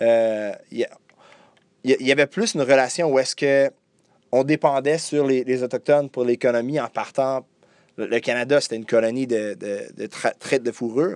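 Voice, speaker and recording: Dry and close with no echo, a man's medium-pitched voice moves at a fairly slow pace with fairly even intonation and long, frequent pauses. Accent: English. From Quebec, Deux-Montagnes north shore of Montreal, anglophone town. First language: English (speaking French). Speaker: journalist. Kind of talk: interview. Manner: halting, many repetitions and hesitations.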